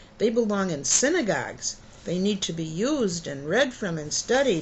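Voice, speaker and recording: Using a put-on character voice, a woman speaks at a moderate pace and medium pitch with very wide pitch swings, over clear background noise. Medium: read story.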